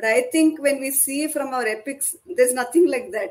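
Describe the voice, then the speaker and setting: In a Kannada accent, a woman speaks with a high pitch. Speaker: author. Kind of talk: casual interview.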